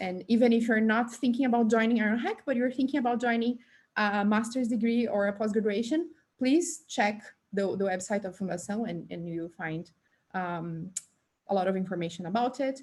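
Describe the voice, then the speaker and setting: A woman with a somewhat breathy voice speaks fairly high in pitch, her pitch varying in an ordinary way. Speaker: tech bootcamp presenter. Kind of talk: online presentation. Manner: fast.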